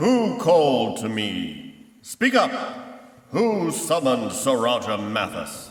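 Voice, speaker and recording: A man does a put-on character voice, high-pitched and with very wide pitch swings. He goes at a very slow pace, with slight echo. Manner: menacing, archaic speech.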